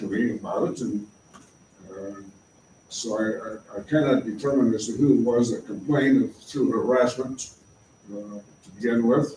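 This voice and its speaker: Noticeable background noise sits behind a man speaking at medium pitch. He holds a moderate pace with fairly even intonation. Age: 80s. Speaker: local resident addressing city council. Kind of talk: public comment at council meeting. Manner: halting, many filler sounds.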